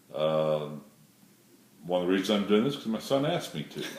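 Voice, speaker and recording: A man talks with ordinary pitch variation. There is audible echo from the room. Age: 60s. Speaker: airline pilot. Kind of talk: casting video self-introduction.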